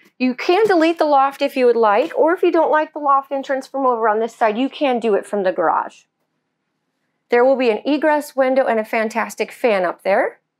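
Lively intonation marks this woman's high-pitched voice. She keeps a moderate pace over a quiet background. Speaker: presenter. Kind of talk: product walkthrough tour. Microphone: camera far.

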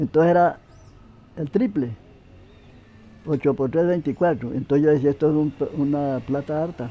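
This man talks at a moderate pace with a fairly high pitch, a dark, mellow tone and ordinary pitch variation, leaving long, frequent pauses. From Boyacá, Colombia. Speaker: farm day laborer. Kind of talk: interview answer. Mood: calm, reminiscing. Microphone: lapel.

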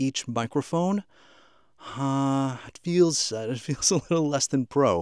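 A man at a fairly slow pace, dry sound with no echo. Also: quiet background. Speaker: audio gear reviewer. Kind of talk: review commentary to camera. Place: studio.

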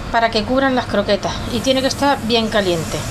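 High-pitched, a woman speaks with ordinary pitch variation. Noticeable background noise sits behind her. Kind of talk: tutorial. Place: kitchen. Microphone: phone near.

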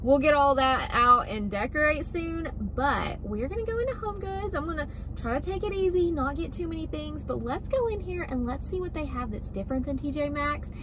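The woman's high voice moves at a fairly quick pace as background noise stays clearly audible. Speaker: lifestyle vlogger. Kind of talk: casual vlog chat. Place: car. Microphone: phone near.

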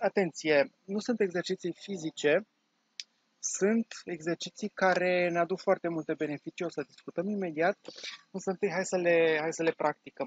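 In a calm tone, a man speaks at a fairly slow pace. His pitch is high and his intonation fairly even. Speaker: online course teacher and meditation guide. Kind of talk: guided meditation with breathing and body-tensing exercise, spoken as direct instructions. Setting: video recording for online course. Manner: calm, slow-paced, instructive, with pauses between cues; warm, encouraging, conversational.

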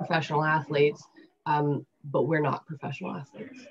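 A woman speaks in a somewhat breathy voice with a Canadian accent. Light background noise sits behind her. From Canada. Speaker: women's rugby player. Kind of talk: interview. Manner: hesitant, many fillers. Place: home room. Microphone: webcam.

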